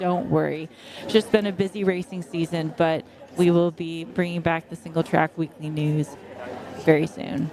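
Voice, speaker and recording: A woman with an American accent at a moderate pace, fairly even intonation, and noticeable background noise. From US. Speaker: trail running commentator. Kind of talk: live commentary. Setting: outdoors at race aid station.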